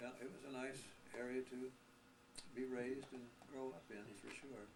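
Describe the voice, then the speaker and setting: Moderately paced, medium-pitched male speech with a Midwestern American accent and fairly even intonation, plus audible room echo and noticeable background noise. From US Midwest, eastern Iowa. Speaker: early aviator. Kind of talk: oral history interview. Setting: recorded video interview.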